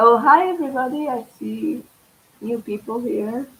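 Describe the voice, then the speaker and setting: The speech comes at a very slow pace with a Portuguese accent. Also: woman. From Portugal. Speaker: tarot reader. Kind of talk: live stream tarot reading. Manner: halting.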